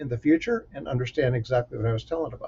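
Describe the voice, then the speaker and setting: A somewhat breathy man with an American accent. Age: 50s. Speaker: safety professional and mentor. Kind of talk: solo talk giving career advice.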